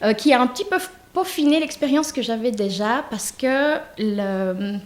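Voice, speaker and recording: Against noticeable background noise, a woman speaks fairly slowly at a fairly high pitch with lively intonation. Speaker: make-up artist and hairstylist. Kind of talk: self-presentation at online wedding fair. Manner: hesitant, many fillers.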